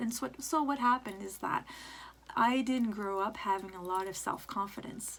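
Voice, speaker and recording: A woman's fairly high voice in a French accent, with ordinary pitch variation and a moderate pace. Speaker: vlogger and aspiring motivator. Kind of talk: personal vlog monologue. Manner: halting, stumbles over words.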